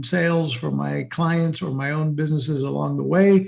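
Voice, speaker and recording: This man has a plain, everyday voice. His pitch is fairly high, and he speaks at a moderate pace. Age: 60s. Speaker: marketing entrepreneur. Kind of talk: interview.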